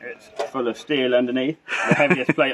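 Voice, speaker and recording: A man speaks at a moderate pace with light background noise behind him. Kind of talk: casual presentation to camera. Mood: light-hearted, slightly self-conscious. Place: garage.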